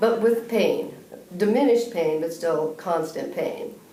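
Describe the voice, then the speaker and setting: At a moderate pace and with ordinary pitch variation, a woman speaks amid noticeable background noise and audible room echo. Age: 60s. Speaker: patient. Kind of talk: testimony.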